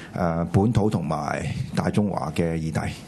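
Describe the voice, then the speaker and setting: Noticeable background noise runs under a man whose pitch varies in an ordinary way as he talks at a moderate tempo. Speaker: political talk show co-host. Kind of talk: political commentary chat. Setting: studio with live audience.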